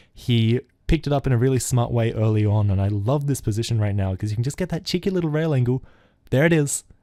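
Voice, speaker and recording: A man's dark, mellow voice at medium pitch, very fast with lively intonation, on a very clean recording with a silent background. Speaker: esports caster. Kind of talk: live commentary.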